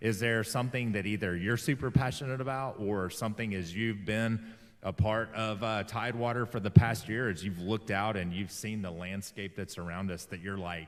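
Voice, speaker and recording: A man with a Southern US accent speaks at a fairly low pitch, his pitch varying normally. He leaves hardly any pauses. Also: moderate pace. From US South (Alabama). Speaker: interview show host. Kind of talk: interview.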